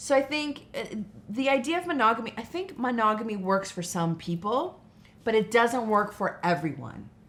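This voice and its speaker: A woman with a fairly high pitch talks at a moderate pace, her pitch swinging very widely. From Portuguese family background. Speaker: sexologist and psychotherapist. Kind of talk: podcast interview. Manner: animated, casual.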